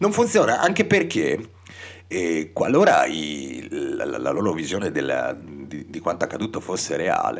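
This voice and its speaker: Noticeable background noise behind a man's fairly slow speech, broken by long and frequent pauses. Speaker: radio host. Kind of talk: radio DJ talk and political commentary. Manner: halting, many repetitions.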